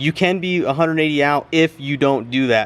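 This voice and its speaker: A loud male voice. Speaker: mechanic video creator. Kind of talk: tutorial. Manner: casual.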